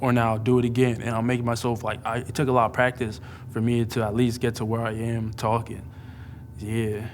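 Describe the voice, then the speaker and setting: The man talks at a fairly quick pace. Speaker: college radio student. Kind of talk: interview testimony. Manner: halting.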